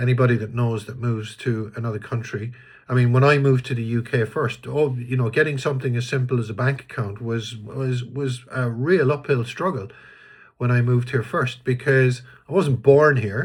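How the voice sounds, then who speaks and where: A man with an Irish accent speaks at a moderate pace and a medium pitch, somewhat breathy. His intonation is fairly even, and the recording is very clean with a silent background. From Ireland. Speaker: vlogger. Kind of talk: casual monologue. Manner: hesitant, many fillers and restarts.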